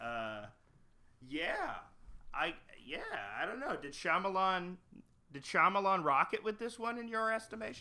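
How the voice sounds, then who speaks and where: Raised and projected, a man's high-pitched voice has a bright, sharp tone and very wide pitch swings. He keeps a moderate pace but leaves long, frequent pauses. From Canada. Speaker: podcaster and cartoonist. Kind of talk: casual chat.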